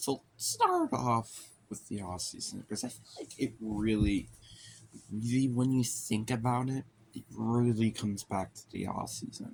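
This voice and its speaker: Quiet and fairly slow, a man talks with big swings in loudness. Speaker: sports vlogger. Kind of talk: casual monologue. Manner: quiet, talking low; hesitant, many fillers.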